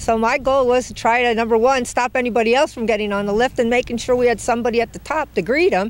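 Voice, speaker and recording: A woman races along at a very fast pace, her pitch varying in an ordinary way, with noticeable background noise behind her. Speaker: ski patrol director. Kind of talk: casual interview. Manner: loud.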